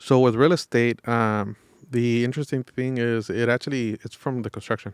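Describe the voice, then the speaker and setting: A man speaks in an ordinary speaking voice at medium pitch and a moderate pace, with fairly even intonation. The sound is dry and close with no echo, in a very clean recording over a silent background. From Los Angeles, East Hollywood. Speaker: real estate and mortgage salesman. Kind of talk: podcast interview.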